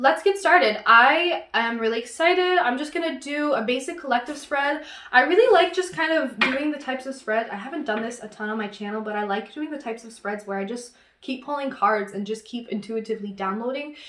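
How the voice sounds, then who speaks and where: A woman talks fairly quickly in a high voice with lively intonation and big swings in loudness. Noticeable background noise is present. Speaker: tarot reader and astrologer. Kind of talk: tarot reading. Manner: fast.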